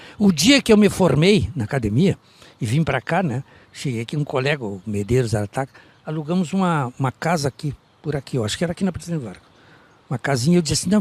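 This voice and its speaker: In a dry, close sound with no echo, a man speaks very fast at a fairly high pitch, somewhat breathy and with very wide pitch swings. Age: 80s+. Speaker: veteran local politician. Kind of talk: interview. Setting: outdoors in the street.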